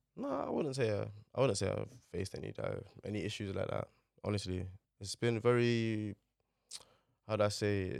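Fairly quick delivery in a London accent, broken by long, frequent pauses. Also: man. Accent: London Multicultural English. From London, Newham (East London). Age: 20s. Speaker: fashion model. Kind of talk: casual interview.

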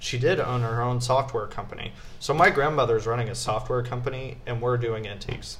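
Amid noticeable background noise and audible room echo, a man talks at a fairly quick pace in a medium pitch with fairly even intonation. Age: 20s. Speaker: university student, host's husband. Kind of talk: casual chat.

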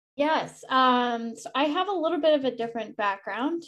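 A woman with an unremarkable speaking voice, ordinary pitch variation and a moderate pace over a quiet background. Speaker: arts council executive director. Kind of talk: panel discussion.

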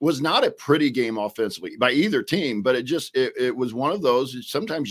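The man's delivery moves along fairly quickly, his intonation lively, in an ordinary speaking voice. Everything is captured very cleanly against a silent background. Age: 50s. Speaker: basketball coach and podcaster. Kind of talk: casual sports discussion.

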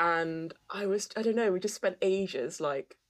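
The speaker is a woman with a British accent. She sounds animated. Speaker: podcast co-host. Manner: animated, laughs often.

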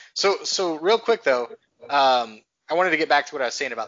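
A plain, everyday voice moves at a fairly quick pace. Its intonation is lively. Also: man. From Texas. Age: 30s. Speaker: podcast host. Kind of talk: casual chat.

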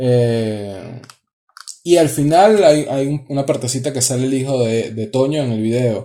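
A dark, mellow tone with ordinary pitch variation. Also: man. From Venezuela. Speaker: audiovisual producer. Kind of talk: casual chat.

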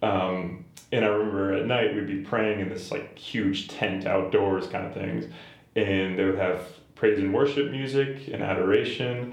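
A man's fairly low-pitched voice at a moderate pace, with audible room echo and noticeable background noise. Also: ordinary pitch variation. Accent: American. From Boston area, Massachusetts. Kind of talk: casual interview chat.

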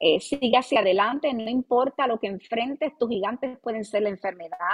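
Fairly high in pitch, a woman speaks at a moderate pace with lively intonation. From Puerto Rico, Ponce. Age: 30s. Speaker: pastor. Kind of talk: interview testimony and advice. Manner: hesitant fillers like eh and verdad.

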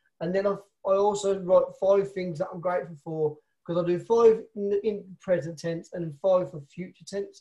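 The tone is dark and mellow, with a Birmingham accent. Delivery is at a moderate pace with fairly even intonation. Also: man, high pitch for a man. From Birmingham, England. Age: 30s. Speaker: network marketer. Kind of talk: interview conversation.

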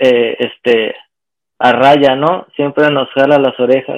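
At a fairly slow pace, a man with a Mexican accent speaks in a fairly high pitch with fairly even intonation. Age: 40s. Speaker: online seller of handmade goods. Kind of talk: casual interview.

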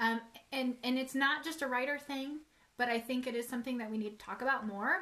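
In a raised, projected voice, a woman with a high pitch talks at a fairly quick pace, her tone bright and sharp, her intonation fairly even, and her loudness swinging widely. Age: 30s. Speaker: author and publishing business partner. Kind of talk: casual chat.

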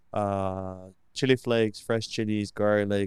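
With an American accent, a man talks at a fairly slow pace in a fairly low, monotone voice. The recording is very clean, with a silent background. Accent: American-sounding English. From Limassol, Cyprus. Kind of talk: casual interview chat.

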